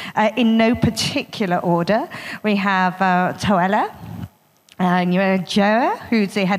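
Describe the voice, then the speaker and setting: Against a quiet background, a woman speaks at a moderate pace. Her pitch variation is ordinary. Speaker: panel moderator. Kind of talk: moderator introduction. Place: hall. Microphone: handheld.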